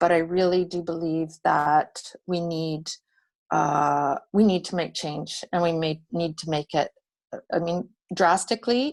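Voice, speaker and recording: This woman has an unremarkable speaking voice, pitched fairly low. The background is quiet. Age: 60s. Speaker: borough mayor, former journalist. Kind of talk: roundtable discussion. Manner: casual, with many fillers.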